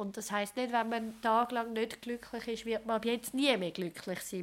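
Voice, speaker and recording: Fairly even intonation in a Swiss accent. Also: woman. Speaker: sexologist. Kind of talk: interview. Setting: her practice.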